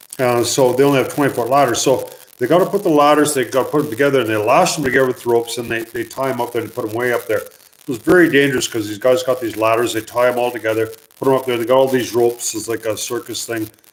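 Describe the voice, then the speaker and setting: A man with a medium pitch speaks at a very fast pace. His pitch varies in an ordinary way, over noticeable background noise. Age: 50s. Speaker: mine explorer and museum owner. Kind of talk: live stream Q&A; storytelling. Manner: casual, hesitant with fillers.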